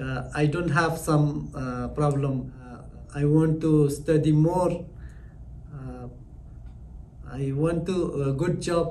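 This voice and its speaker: A man's fairly high, monotone, flat voice at a very slow pace, with audible room echo. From Afghanistan. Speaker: language student, former tailor. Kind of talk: testimonial interview. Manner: halting, basic English.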